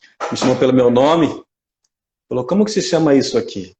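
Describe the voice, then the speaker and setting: A man speaks in a Mato Grosso accent. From Mato Grosso, Brazil. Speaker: spiritist lecturer. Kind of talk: lecture. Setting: live stream.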